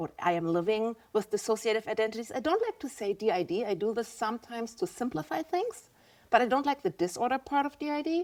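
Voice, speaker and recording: A woman speaks very fast with a German accent. Her fairly high pitch swings very widely. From Germany. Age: 50s. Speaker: visual artist. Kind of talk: podcast interview.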